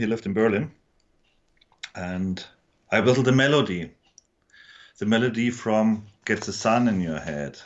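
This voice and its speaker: Speaking at a moderate pace with long, frequent pauses, a man with a German accent uses a medium pitch and ordinary pitch variation. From Germany. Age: 50s. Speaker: musician. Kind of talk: interview. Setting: studio. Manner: halting.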